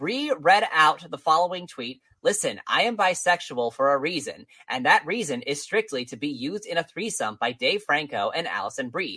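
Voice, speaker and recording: A man's bright, sharp voice sits high and swings very widely in pitch. He keeps a moderate pace. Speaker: podcast co-host. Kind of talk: casual comedic chat.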